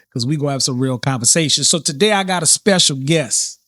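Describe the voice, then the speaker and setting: In a New Orleans accent, a man speaks at a moderate pace with ordinary pitch variation, his sound dry and close with no echo on a very clean recording with a silent background. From New Orleans, US South. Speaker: podcast host. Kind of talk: casual interview chat. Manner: unscripted, occasionally stumbling.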